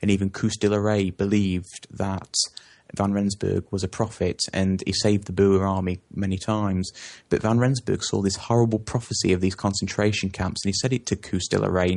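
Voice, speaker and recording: With an English accent, a man speaks at a fairly quick pace in a fairly low pitch against a quiet background. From England. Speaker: interview guest on South Africa. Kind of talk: interview. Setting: phone call. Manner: halting, many fillers.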